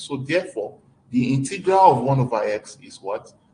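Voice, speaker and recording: A man talks at a fairly quick pace with a fairly high pitch. His intonation is lively and his voice somewhat breathy. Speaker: mathematics lecturer. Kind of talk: lecture.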